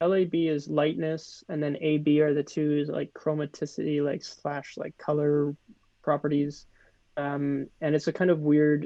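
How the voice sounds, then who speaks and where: Speaking with a Canadian accent, a man talks in a monotone with flat intonation. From Canada. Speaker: creative coder, shader artist. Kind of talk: live coding tutorial. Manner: casual, explanatory.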